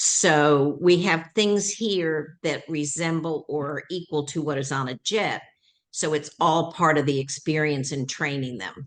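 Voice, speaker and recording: With a Southern accent, a woman speaks at a fairly slow pace in a very deep, low voice with ordinary pitch variation against a quiet background. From US South, Atlanta. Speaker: training school founder. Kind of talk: interview.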